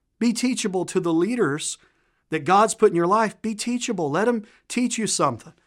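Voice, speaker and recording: Speaking in a Southern US accent, a man has a high pitch and lively intonation. He keeps a moderate pace in a very clean recording with a silent background. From Tennessee, US South. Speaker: guest preacher. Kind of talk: sermon. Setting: church. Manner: joking, animated.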